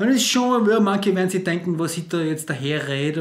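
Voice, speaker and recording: Speaking at a moderate pace, a man has a high pitch with ordinary pitch variation. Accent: Austrian. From Austria. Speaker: cabaret comedian. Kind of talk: comedic casual talk to camera.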